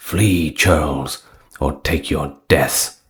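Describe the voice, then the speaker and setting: A man uses a put-on character voice that is raspy and very deep, with fairly even intonation. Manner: commanding, fierce.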